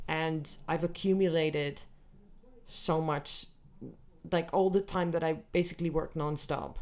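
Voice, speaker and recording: A woman talks in a monotone, flat intonation with an American accent and a fairly low pitch. Long, frequent pauses break her speech, and room echo is audible. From Netherlands. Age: 30s. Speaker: comedian. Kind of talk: casual chat. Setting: backstage after gig, music downstairs. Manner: relaxed.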